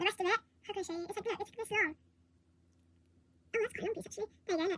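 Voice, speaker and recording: A raised, projected voice with a bright, sharp tone races along at a very fast pace with ordinary pitch variation, in a dry, close sound with no echo. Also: woman. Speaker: vlogger. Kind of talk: casual chat.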